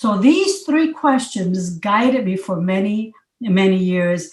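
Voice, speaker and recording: Her voice sits at a medium pitch. The woman sounds somewhat breathy. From Puerto Rico. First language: Spanish. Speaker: county commissioner and former teacher. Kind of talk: motivational talk. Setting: video call. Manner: halting, with repetitions.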